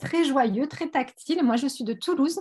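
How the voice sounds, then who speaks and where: A woman with a plain, everyday voice talks at a moderate pace with lively intonation. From Sète, southern France. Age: 40s. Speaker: beauty product seller, former pharmacy assistant. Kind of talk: online presentation. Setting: video call.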